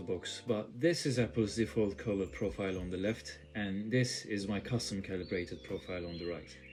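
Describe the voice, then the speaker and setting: A man with a strong non-native accent speaks at a moderate pace in a fairly low, somewhat breathy voice. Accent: thick non-native. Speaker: tech youtuber. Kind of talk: tutorial.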